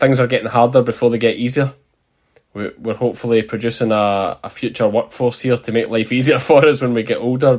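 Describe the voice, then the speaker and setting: With an Ayrshire accent, a man of medium pitch talks at a moderate pace using fairly even intonation. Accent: Scottish, Ayrshire. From Ayrshire, southwest Scotland. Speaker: sheep farmer, former police officer, YouTuber; interview guest.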